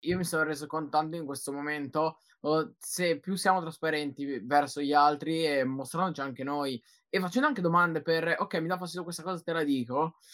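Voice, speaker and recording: A fairly high-pitched man with an energetic tone and a fairly quick pace. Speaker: podcast host. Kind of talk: live podcast chat.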